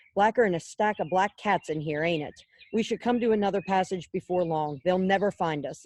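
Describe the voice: The reading aloud is plain, and its pitch varies in an ordinary way.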